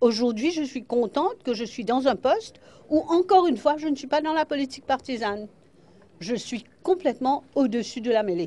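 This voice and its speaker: At a moderate pace, a woman speaks in a dark, mellow tone at a high pitch, her voice rising and falling very widely. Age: 70s. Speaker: parliamentary speaker and lawyer. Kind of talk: news interview.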